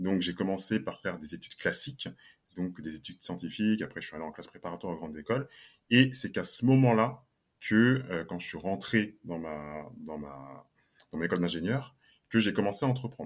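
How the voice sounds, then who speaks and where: A man with a very deep, low pitch speaks fairly quickly, his intonation lively and his loudness swinging widely. The recording is very clean, with a silent background. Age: 20s. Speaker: solopreneur and LinkedIn coach. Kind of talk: podcast interview.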